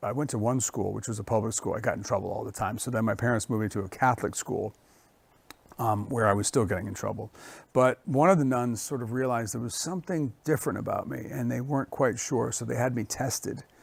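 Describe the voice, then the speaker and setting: Talking at a very fast pace, a man with an American accent uses ordinary pitch variation and has vocal fry. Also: medium pitch for a man. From grew up moving between France, Italy and the US. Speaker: chef. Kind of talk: interview.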